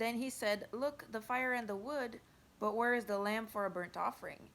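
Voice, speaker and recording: The speaker talks at a moderate pace. They speak with a French Canadian accent. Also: woman. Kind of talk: Bible reading. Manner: careful, sometimes halting.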